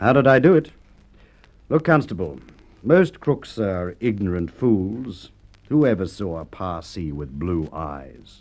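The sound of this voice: In a put-on character voice, a man speaks slowly at a low pitch with big pitch swings and a slightly mellow tone.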